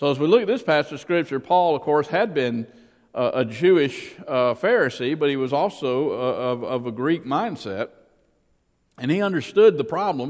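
Speaking with a Southern US accent, a man uses a fairly high pitch and lively intonation at a moderate pace. The background is quiet. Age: 60s. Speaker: pastor. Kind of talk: sermon. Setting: church.

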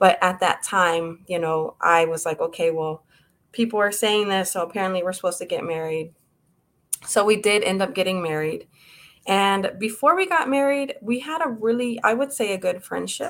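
A woman has a plain, everyday voice at medium pitch. She keeps a moderate pace with lively intonation. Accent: American. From Texas, Houston area. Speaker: abuse survivor and author. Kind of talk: personal testimony interview.

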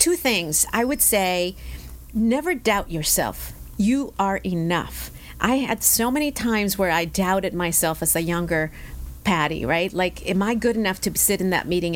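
A woman's voice at medium pitch with vocal fry, very even loudness, ordinary pitch variation and a moderate pace. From Mexicali, Mexico; moved at 11 to El Centro, California. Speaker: bank executive and chamber board chair. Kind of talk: interview.

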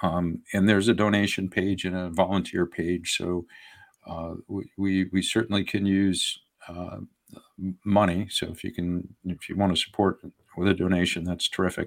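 A man speaks with a very deep, low pitch. His intonation is monotone and flat, at a moderate pace. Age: 60s. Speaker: congressional candidate. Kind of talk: interview. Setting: in person, same house as host.

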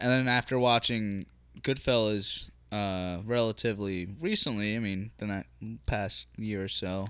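The man has an American accent and a fairly low pitch. His pace is fairly slow. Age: 20s. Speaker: podcast host. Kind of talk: casual chat. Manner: animated.

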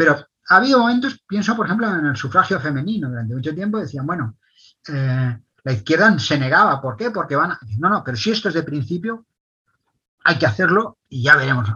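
A man speaks at a fairly high pitch with very wide pitch swings. His pace is fairly quick and his tone bright and sharp. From Spain. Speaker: author and philosopher. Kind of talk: long-form interview.

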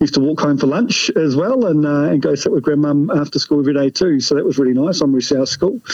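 Over noticeable background noise, a man talks at a very fast pace and fairly high pitch. His loudness is very even, with ordinary pitch variation. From North Otago, New Zealand. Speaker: doctor and oncologist, lecturer. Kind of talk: casual interview.

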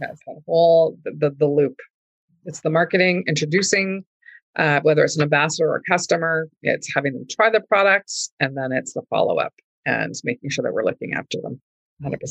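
A woman speaks at a fairly quick pace in a fairly low voice with ordinary pitch variation. It is an unremarkable speaking voice. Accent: Canadian. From Canada, rural Manitoba (Oakbank). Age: 50s. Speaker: entrepreneur. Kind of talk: casual interview.

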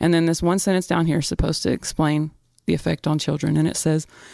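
A woman's fairly low, dark, mellow voice, recorded dry and close with no echo against a quiet background. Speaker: podcast co-host. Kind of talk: casual discussion of news.

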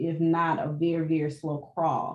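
A woman with an American accent has an unremarkable speaking voice at a fairly low pitch. She talks at a fairly slow pace. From US South (Birmingham, Alabama). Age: 40s. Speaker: pastor, ministry director. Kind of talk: interview conversation.

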